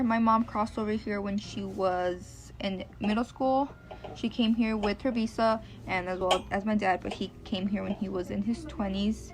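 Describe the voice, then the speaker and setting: A woman speaks at a medium pitch with a Spanish accent. Her moderate pace carries monotone, flat intonation. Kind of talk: personal narrative.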